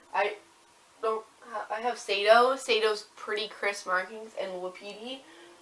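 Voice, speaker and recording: Over noticeable background noise, a woman with a fairly high pitch speaks at a fairly slow pace in a monotone, flat intonation. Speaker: hobby vlogger. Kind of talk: casual chat. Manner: rambling, hesitant.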